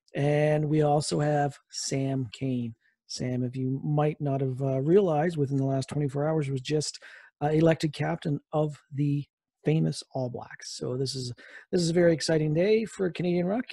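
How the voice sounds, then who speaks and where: Somewhat breathy and fairly even in intonation, a man's voice comes through dry with no echo over a quiet background. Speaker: podcast host. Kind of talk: podcast intro.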